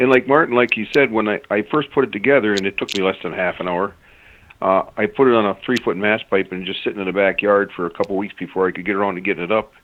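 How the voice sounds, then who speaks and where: Speech comes at a very fast pace in an Upper Michigan accent. Pitch varies in an ordinary way. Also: man, fairly low pitch for a man. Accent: Yooper. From Upper Peninsula of Michigan. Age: old. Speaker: caller. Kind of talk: casual chat. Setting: phone call. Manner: halting.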